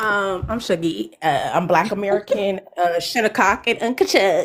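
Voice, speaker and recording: With a New York accent, a woman talks at a fairly slow pace. Her medium pitch shows ordinary variation. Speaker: panel participant on live stream. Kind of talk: live stream panel commentary.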